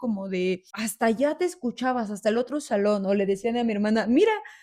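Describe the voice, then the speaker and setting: Speaking very fast, a woman with a fairly high voice lets her pitch swing very widely. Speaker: therapist, podcast co-host. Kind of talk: casual chat. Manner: loud, can sound like scolding.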